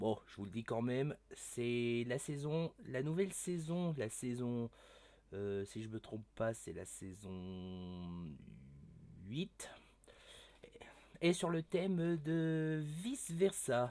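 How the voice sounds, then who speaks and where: A very slow pace broken by long, frequent pauses. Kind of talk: casual gameplay commentary. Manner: stutters often.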